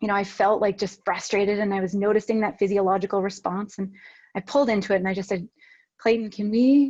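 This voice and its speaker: A woman speaks at a medium pitch with ordinary pitch variation and a fairly quick pace. Her voice has a dark, mellow tone and is somewhat breathy. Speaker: workplace communication coach and workshop presenter. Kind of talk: workshop presentation. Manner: fast-talking; animated, conversational.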